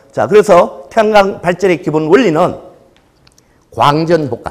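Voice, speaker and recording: A man with a Gyeongsang accent speaks at a high pitch. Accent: Gyeongsang dialect, noticeable. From Gyeongsang region, Korea. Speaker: solar company sales manager. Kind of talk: lecture. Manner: hesitant fillers, conversational.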